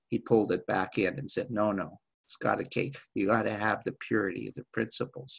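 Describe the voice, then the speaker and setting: A man's voice with vocal fry, moderate pace and ordinary pitch variation, in a dry, close sound with no echo. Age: 70s. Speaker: spiritual teacher. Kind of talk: group discussion. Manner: halting.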